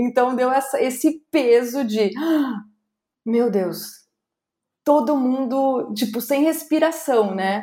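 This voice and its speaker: Very slowly, a woman speaks with a high pitch, a dark, mellow tone and ordinary pitch variation. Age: 40s. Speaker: speaker and content curator. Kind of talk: interview podcast.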